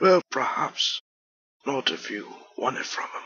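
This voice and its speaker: A man puts on a character voice. His tone is raspy. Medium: machinima.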